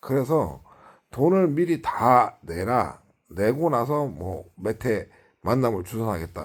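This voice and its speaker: On a very clean recording with a silent background, a man speaks very slowly at a medium pitch with vocal fry and very wide pitch swings. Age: 50s. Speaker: YouTuber. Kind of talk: casual monologue vlog. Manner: halting, many fillers.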